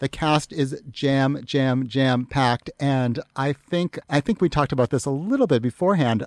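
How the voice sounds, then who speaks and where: A man with an American accent speaks at a fairly high pitch and a moderate pace with ordinary pitch variation, very even loudness and hardly any pauses, in a dry, close sound with no echo. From Massachusetts. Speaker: entertainment editor. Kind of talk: casual chat. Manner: animated.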